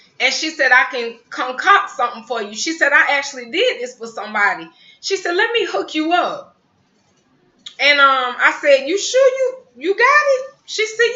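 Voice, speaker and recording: A woman with very wide pitch swings at a moderate pace. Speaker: lifestyle vlogger. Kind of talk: casual vlog monologue. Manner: loud.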